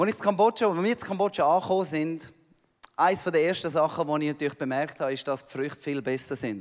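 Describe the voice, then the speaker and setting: With a Swiss accent, a man speaks at a very fast pace. His fairly high voice carries lively intonation. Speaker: missionary pastor. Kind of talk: sermon. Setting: church.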